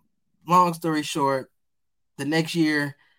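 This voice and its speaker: A man with an ordinary speaking voice talks in an American accent at a moderate pace, his intonation fairly even. The recording is very clean, with a silent background. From Detroit, east side. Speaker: nonprofit founder. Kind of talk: interview answers.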